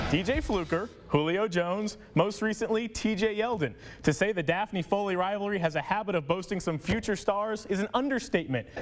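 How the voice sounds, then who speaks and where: A high-pitched man speaks at a fairly quick pace in an upbeat, energetic tone. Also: ordinary pitch variation. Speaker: sports anchor and reporter. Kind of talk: TV sports broadcast reporting.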